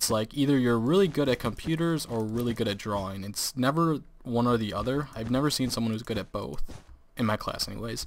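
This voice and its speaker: At a fairly quick pace, a man talks in an ordinary speaking voice of medium pitch with ordinary pitch variation, captured on a very clean recording with a silent background. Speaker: gaming youtuber. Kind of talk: casual let's play commentary. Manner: laughs often.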